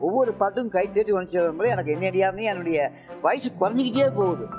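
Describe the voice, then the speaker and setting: Clear music plays in the background as a man with a high pitch speaks with ordinary pitch variation. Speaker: puppeteer, retired headmaster. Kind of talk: interview answer.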